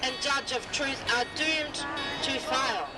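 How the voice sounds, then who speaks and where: With music in the background, a woman speaks at a very slow pace using ordinary pitch variation. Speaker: street preacher. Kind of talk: street preaching speech on an open-air public forum. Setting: outdoors, public speakers' forum.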